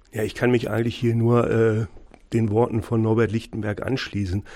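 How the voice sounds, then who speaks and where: In a very clean recording with a silent background, a man of medium pitch speaks at a moderate pace, his intonation fairly even and his tone dark and mellow. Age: 50s. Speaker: school principal. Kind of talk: radio interview.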